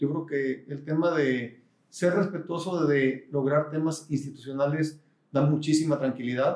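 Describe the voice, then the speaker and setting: Speaking at a fairly slow pace, a man with a fairly high pitch uses an unremarkable speaking voice and fairly even intonation. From Mexico, Guadalajara. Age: 50s. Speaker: business executive and university board president. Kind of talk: interview.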